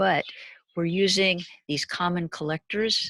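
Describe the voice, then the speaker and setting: A woman's bright, sharp tone with fairly even intonation on a very clean recording with a silent background. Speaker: university lecturer. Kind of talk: lecture.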